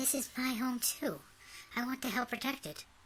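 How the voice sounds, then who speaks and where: This put-on character voice sits at a fairly high pitch and moves at a moderate pace over clear background noise. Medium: read story. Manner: direct, spirited.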